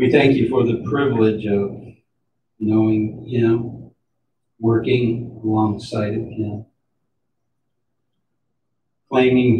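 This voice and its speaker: A man speaks at a very slow pace in a dark, mellow, somewhat breathy tone. His intonation is flat and monotone, with noticeable background noise in the recording. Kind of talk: funeral prayer. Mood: solemn, slow measured prayer. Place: church.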